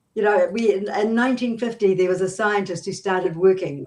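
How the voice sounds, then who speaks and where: Speaking fairly quickly with a New Zealand accent, a woman shows ordinary pitch variation. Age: 70s. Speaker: business coach. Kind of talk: interview.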